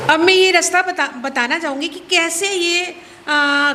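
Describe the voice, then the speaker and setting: A woman speaks in a raised, projected voice with ordinary pitch variation, and noticeable background noise sits behind her. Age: 70s. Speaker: poet speaking at a book launch. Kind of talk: speech at a poetry gathering.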